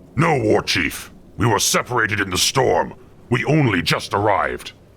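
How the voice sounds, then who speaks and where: A man's gruff put-on character voice, medium in pitch, at a moderate pace. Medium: video game. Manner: gruff, broken grammar.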